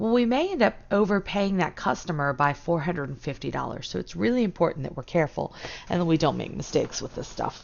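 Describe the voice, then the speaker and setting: The woman's voice is fairly low in pitch. She talks very fast. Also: lively intonation. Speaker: high school accounting teacher. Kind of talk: lecture. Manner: informal, steady explaining with fillers.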